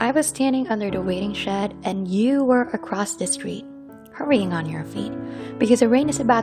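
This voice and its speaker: Music plays in the background as a woman speaks at a fairly quick pace. Her intonation is lively. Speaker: spoken word poet. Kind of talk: spoken word poetry performance. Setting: over background piano music.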